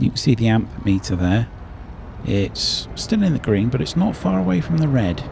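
A man with a British accent talks at a moderate pace, his loudness very even but his pitch swinging very widely. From Britain. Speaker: gaming YouTuber. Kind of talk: let's play commentary.

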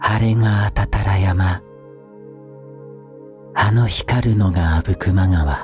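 Against clear music in the background, the speaker goes at a very slow pace with long, frequent pauses. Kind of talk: poetry reading, ASMR.

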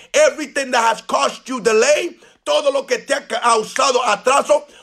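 Over music in the background, a man with extremely high pitch speaks in an animated tone at a fairly slow pace. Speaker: evangelist preacher. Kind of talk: fervent bilingual prayer declaration. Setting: live Facebook video stream. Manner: animated, fervent, declaring; bilingual, repeating each line in English then Spanish. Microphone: phone near.

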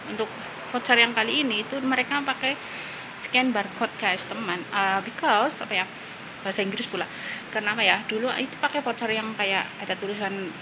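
Through noticeable background noise, a woman talks at a fairly quick pace with ordinary pitch variation. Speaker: vlogger. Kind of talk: casual vlog chat. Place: street. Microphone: phone near.

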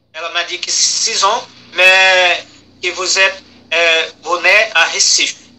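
This man talks at a very slow pace with a high pitch. His intonation is monotone and flat, and there is noticeable background noise. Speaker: interpreter between mother and daughter. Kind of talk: interpreting in a family conversation. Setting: phone call. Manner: halting, hesitant.

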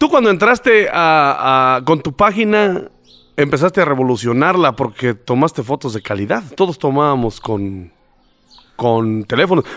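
Speaking at a fairly slow pace, a man uses a fairly high pitch with very wide pitch swings. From rural central Mexico. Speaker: podcast host. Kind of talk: casual interview. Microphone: studio mic.

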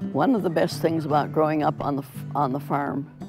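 Clear music plays in the background while a woman speaks with a very deep, low pitch. Her pitch variation is ordinary, and the sound is dry with no echo. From Minnesota, USA. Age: 80s+. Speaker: painter. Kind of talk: interview answer. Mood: warm, cheerful. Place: home room.

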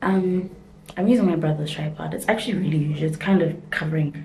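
Light background noise sits under a woman's normal speaking voice. She talks at a fairly quick pace with fairly low pitch and fairly even intonation. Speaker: vlogger. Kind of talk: casual vlog chat. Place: bathroom. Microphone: phone near.

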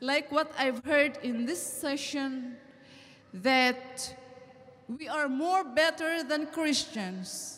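Very slow and high-pitched, a woman speaks with a Filipino accent and ordinary pitch variation. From Philippines. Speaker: audience member, recent convert; audience member. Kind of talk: audience question. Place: hall. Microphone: handheld.

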